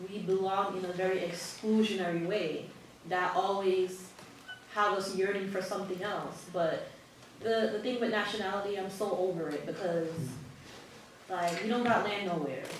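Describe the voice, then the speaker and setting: A woman with an American accent at a moderate pace and medium pitch, fairly even in intonation, with long, frequent pauses, audible room echo and noticeable background noise. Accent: non-Jamaican, American-sounding. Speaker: panelist, immigrant activist. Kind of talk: panel discussion.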